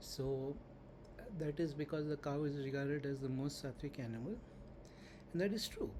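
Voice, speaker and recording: A man talks at a moderate pace in a fairly high pitch, with ordinary pitch variation and very even loudness, his tone dark and mellow and somewhat breathy. Long, frequent pauses come up often, and audible room echo surrounds him. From India. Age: 60s. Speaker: spiritual teacher. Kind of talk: lecture.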